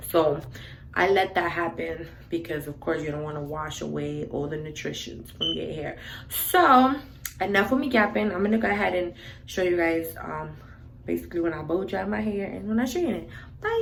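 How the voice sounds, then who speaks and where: Noticeable background noise and audible room echo surround a woman with a New York accent who speaks at a fairly quick pace. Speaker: beauty vlogger. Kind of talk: tutorial. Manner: casual, filler-heavy.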